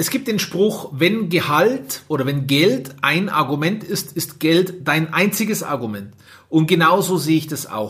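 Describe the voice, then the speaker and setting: A man with a normal speaking voice talks at a fairly slow pace and a fairly high pitch. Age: 30s. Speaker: care home owner, podcaster. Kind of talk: solo podcast monologue. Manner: casual, many filler sounds.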